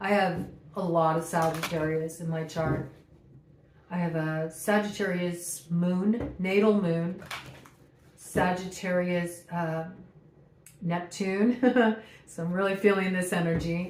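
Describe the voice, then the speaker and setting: Amid noticeable background noise and audible room echo, a woman speaks at a very slow pace with long, frequent pauses. Her voice is fairly low-pitched, her intonation fairly even. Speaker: tarot reader. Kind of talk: channeled tarot reading.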